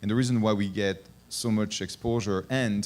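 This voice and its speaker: A man's fairly low voice in a French accent, with ordinary pitch variation, on a very clean recording with a silent background. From France. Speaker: venture capital investor. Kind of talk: panel discussion. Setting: conference stage with audience. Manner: hesitant, with frequent fillers.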